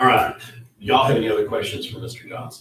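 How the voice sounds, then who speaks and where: A man's fairly even intonation against audible room echo. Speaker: county official. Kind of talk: public meeting. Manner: fast.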